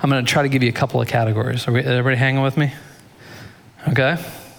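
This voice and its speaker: A man's medium-pitched voice against noticeable background noise. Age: 40s. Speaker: pastor. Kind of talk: sermon.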